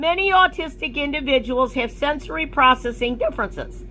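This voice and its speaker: A high-pitched woman at a moderate pace. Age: 60s. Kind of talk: reading aloud. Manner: formal.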